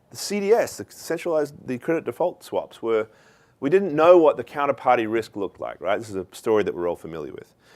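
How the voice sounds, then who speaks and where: Recorded very cleanly against a silent background, a man with an Australian accent speaks at a fairly quick pace. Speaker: keynote speaker, author. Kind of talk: conference talk. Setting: stage with audience.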